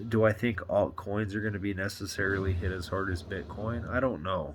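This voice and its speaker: In a room with audible echo, a man with a fairly low pitch speaks at a fairly quick pace with fairly even intonation. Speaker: crypto YouTuber. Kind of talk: casual vlog monologue. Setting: home recording, movie paused. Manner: halting, many fillers.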